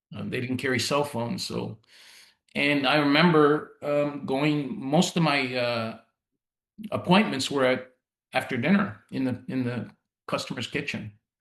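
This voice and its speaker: A man with a Canadian accent talks at a fairly slow pace with long, frequent pauses. His pitch sits fairly high. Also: ordinary pitch variation. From Canada (Ontario, Italian-Canadian community). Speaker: insurance executive. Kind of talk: podcast interview. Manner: casual, with many fillers and restarts.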